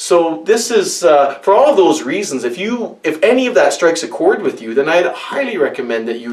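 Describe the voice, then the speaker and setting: A man with a high pitch talks over noticeable background noise. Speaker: board game reviewer. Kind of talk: tutorial. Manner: fast; animated.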